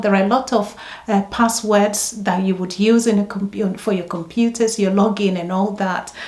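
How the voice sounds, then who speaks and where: The speaker talks at a moderate pace with ordinary pitch variation. Noticeable background noise is present. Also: woman. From Ghana. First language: Ghanaian language (not English). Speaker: nurse. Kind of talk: advice vlog. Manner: conversational, with filler ums.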